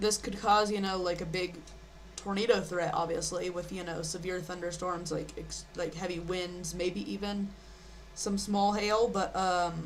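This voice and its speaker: In a room with audible echo and noticeable background noise, a woman speaks at a fairly slow pace in a fairly low, monotone, flat voice. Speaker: live weather streamer. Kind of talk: live weather commentary. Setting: live stream. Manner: soft-spoken; halting. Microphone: too quiet.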